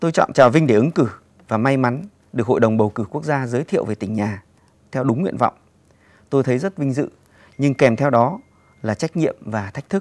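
Talking at a very fast pace yet with long, frequent pauses, a man uses lively intonation. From Cao Bằng, northern Vietnam; northern Vietnam. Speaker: parliamentary candidate, professor; candidate, professor. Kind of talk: campaign speech. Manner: formal. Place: studio.

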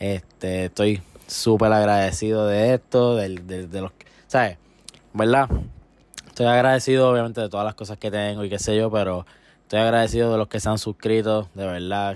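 A man with a fairly low voice and a moderate pace, long, frequent pauses, and a dry sound with no echo. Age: 20s. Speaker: gaming youtuber. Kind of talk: casual vlog. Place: home room. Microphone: handheld.

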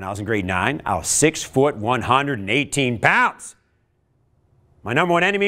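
A man's bright, sharp voice at a fairly slow pace, animated in tone, with big swings in loudness, very wide pitch swings and a quiet background. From Canada. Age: 50s. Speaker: motivational speaker. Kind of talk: workshop talk. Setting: stage with audience. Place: classroom.

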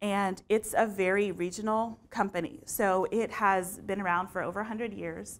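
A woman with an American accent talks at a moderate pace, with fairly even intonation and hardly any pauses. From Texas, San Antonio; Texas. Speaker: marketing communications manager; conference presenter. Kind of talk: conference talk; presentation talk. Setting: stage with audience. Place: classroom. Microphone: lapel.

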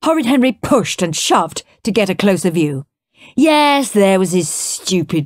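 Over a quiet background, the voice reads in an unforced way.

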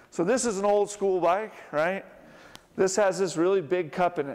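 The pace of this man's speech is moderate. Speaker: presenter. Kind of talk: lecture. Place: hall.

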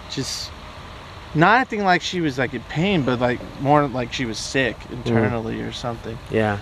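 There is light background noise. A man's voice comes through it. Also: dry sound with no echo. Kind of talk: interview answer. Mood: calm, somewhat somber. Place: waterside. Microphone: camera far.

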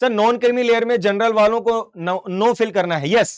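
A man at a moderate pace over a quiet background. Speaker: online exam-prep teacher. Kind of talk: live-streamed tutorial. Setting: studio live stream. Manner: animated. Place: studio.

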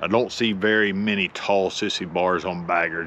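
A man's monotone, flat delivery over light background noise. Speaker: motorcycle owner vlogger. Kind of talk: casual vlog chat. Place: street. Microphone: lapel.

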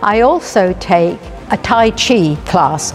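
With faint music in the background, a woman speaks with lively intonation. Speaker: hip hop dancer. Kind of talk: interview answer. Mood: warm, delighted. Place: hall.

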